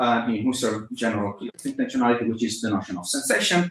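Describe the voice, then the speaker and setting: A man with an Italian accent, very wide pitch swings and audible room echo. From Italy. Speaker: philosophy lecturer. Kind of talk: academic lecture. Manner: halting, many fillers.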